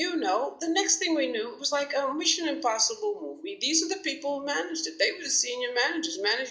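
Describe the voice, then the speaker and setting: Over noticeable background noise, a woman with an American accent uses a raised, projected voice. Her pitch is high, with very wide pitch swings. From New York City. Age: 60s. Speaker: talk show host and commentator. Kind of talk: monologue commentary. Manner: halting with fillers.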